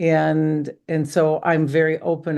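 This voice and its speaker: A woman speaks with an American accent at a very deep, low pitch. Her tone is dark and mellow, and the background is quiet. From US Midwest, Chicago. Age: 70s. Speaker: wellness coach and skincare seller. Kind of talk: podcast interview. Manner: halting.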